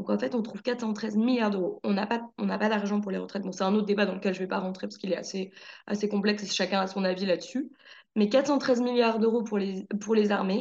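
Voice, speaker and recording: With a normal speaking voice, a woman talks at a fairly quick pace at medium pitch, her intonation fairly even. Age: 20s. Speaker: TV journalist. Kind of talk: casual chat.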